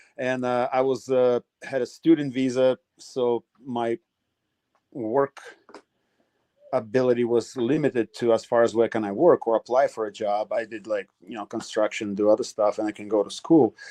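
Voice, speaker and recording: A man with a Russian accent, medium pitch, dark, mellow tone, fairly even intonation and moderate pace. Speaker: retired MMA fighter. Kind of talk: interview. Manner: halting.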